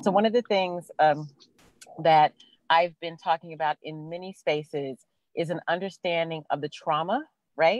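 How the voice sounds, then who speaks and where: A woman speaks at a fairly low pitch and a fairly slow pace with ordinary pitch variation, the sound dry with no echo over a quiet background. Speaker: college president. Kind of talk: panel discussion. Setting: video call. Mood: thoughtful, serious topic. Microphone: video call.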